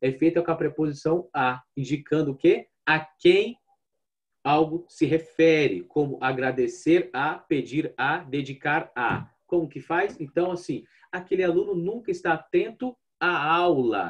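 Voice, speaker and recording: Fairly slow speech from a man, high in pitch, with its pitch varying in an ordinary way. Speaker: language teacher. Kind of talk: online lecture.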